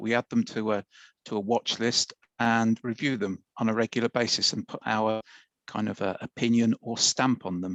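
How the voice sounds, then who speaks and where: The voice carries a British accent at a moderate pace. The sound is dry and close, with no echo. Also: man. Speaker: IT expert presenter. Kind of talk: webinar presentation. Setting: live webinar.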